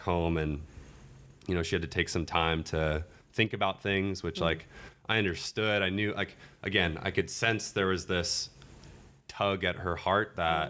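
In a very clean recording with a silent background, a man with an American accent speaks at a fairly slow pace. His pitch is very deep and low, and his tone is bright and sharp. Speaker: dating podcast guest sharing his relationship story. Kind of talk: casual chat.

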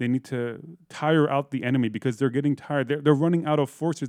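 A man speaks in a normal speaking voice. His intonation is fairly even. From Iran, early childhood in Eugene, Oregon. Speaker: musician and podcaster. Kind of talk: interview.

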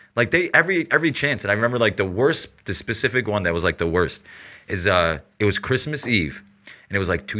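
Recorded very cleanly with a silent background, a man with an American accent talks at a fairly quick pace in a bright, sharp tone, with vocal fry and very wide pitch swings. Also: big swings in loudness. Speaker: podcast guest. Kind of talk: casual chat.

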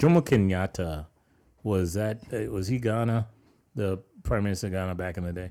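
A man with an American accent, fairly low pitch and a normal speaking voice, at a moderate pace, in a very clean recording with a silent background. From New York. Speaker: podcast co-host. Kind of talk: casual chat.

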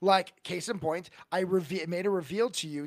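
On a very clean recording with a silent background, a man with a plain, everyday voice speaks at a moderate pace with ordinary pitch variation. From California. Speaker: tabletop game master and podcaster. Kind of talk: casual chat.

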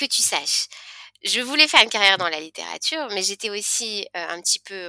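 With very wide pitch swings and a bright, sharp tone, a woman speaks at a moderate pace in a dry, close sound with no echo. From France, Lyon. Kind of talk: interview. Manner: halting.

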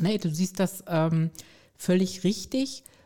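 Very slow speech comes through with a dark, mellow tone. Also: woman. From Stuttgart, Swabia, southwest Germany. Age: 50s. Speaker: resilience trainer and coach. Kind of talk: interview.

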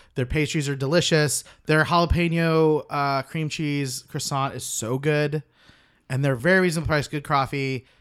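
Recorded very cleanly with a silent background, a man with an American accent and an unremarkable speaking voice talks at a moderate pace in a fairly high pitch with fairly even intonation. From Oklahoma, US. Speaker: podcast co-host. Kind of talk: casual banter. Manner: sarcastic, teasing.

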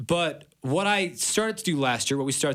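Moderate-paced speech from a man in an American accent, very clean recording, silent background. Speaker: college radio sports host. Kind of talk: casual sports talk radio. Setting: studio, live radio.

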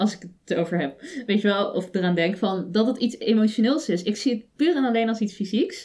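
Somewhat breathy and dark, mellow in tone, a woman with a fairly high pitch speaks at a fairly quick pace with lively intonation and hardly any pauses. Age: young. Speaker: podcast co-host. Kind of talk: casual chat.

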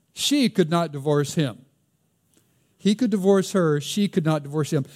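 The recording is very clean, with a silent background. A man speaks in a high pitch with an American accent. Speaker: pastor. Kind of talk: sermon. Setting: church.

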